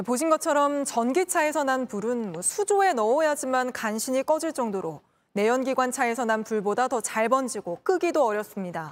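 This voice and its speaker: This woman has a high pitch and very wide pitch swings, speaking at a moderate pace with hardly any pauses. The recording is very clean, with a silent background. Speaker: news anchor. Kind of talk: news reading. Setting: studio.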